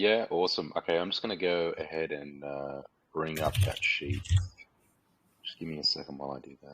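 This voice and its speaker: Enthusiastic in tone, a man with an Australian accent speaks at a fairly quick pace in a very deep, low pitch, with ordinary pitch variation, big swings in loudness and long, frequent pauses. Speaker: community manager hosting a company AMA. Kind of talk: live audio AMA on Discord stage. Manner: quieter than usual; less enthusiastic.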